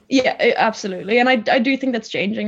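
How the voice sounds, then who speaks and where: In an Irish accent, a woman speaks at a fairly quick pace. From Ireland, Tipperary (from Poland, moved at six). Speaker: recent graduate, interviewee. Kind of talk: interview.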